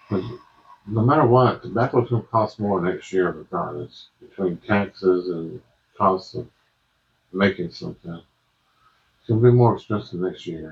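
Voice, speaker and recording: Somewhat breathy and relaxed in tone, a man with a fairly low pitch and ordinary pitch variation speaks at a moderate pace with long, frequent pauses. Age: 50s. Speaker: pipe smoking YouTuber. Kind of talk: casual monologue review. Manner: rambling, halting. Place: home room.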